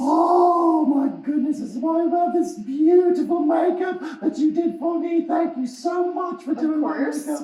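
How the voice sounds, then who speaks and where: Loud and high-pitched, a cartoonish character voice runs at a moderate pace with hardly any pauses and a slight echo. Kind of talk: puppet show interview host. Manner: excitable, loud.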